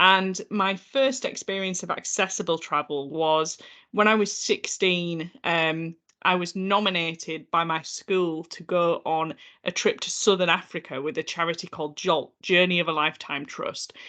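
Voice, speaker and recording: With a Yorkshire accent, a woman speaks at a moderate pace in a fairly low pitch with ordinary variation and a bright, sharp tone against a quiet background. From northern England, North Yorkshire. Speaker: accessibility consultant. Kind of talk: podcast interview.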